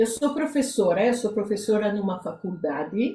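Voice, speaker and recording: A woman with a fairly high pitch speaks in a somewhat breathy voice that has a dark, mellow tone. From Israel. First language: Hebrew (speaking Portuguese). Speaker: psychotherapist. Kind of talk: interview. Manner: halting.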